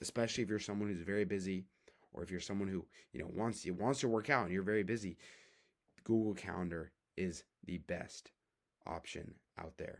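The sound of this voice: Putting on a character voice, a man speaks hoarse and raspy at a fairly low pitch, going at a fairly quick pace between long, frequent pauses, with ordinary pitch variation.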